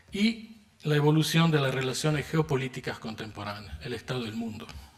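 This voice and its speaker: A man speaking at a fairly quick pace swings very widely in pitch while noticeable background noise plays behind him. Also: medium pitch for a man. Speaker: philosopher, keynote lecturer. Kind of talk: lecture. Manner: formal.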